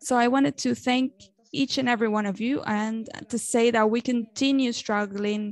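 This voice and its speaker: A woman with a Spanish accent, fairly high in pitch, fairly even intonation, moderate pace, dry sound with no echo. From Venezuela. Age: young. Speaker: journalist and activist; journalist. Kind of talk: speech at an online event. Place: home room. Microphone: earbuds.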